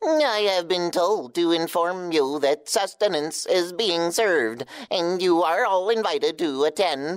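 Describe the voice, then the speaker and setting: A put-on character voice at a middle pitch goes at a fairly slow pace with hardly any pauses. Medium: audio drama. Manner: formal, precise.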